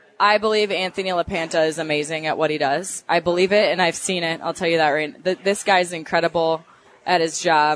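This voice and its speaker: A woman with a Minnesotan accent speaks fairly quickly in a fairly low pitch, with ordinary pitch variation. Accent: Minnesota. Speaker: young sportscaster. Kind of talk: interview.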